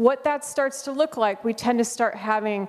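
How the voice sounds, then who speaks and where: A high-pitched woman with an American accent, fairly slow pace and ordinary pitch variation, over noticeable background noise. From United States. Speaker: conference speaker on school behavior support. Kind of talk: conference presentation.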